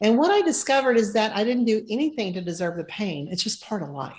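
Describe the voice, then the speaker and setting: Somewhat breathy, medium-pitched voice of a woman with lively intonation. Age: 60s. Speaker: financial planner. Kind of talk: interview.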